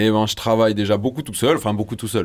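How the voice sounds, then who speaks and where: The man is heard on a very clean recording with a silent background. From southern France, Marseille. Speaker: rapper. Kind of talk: interview. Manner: halting.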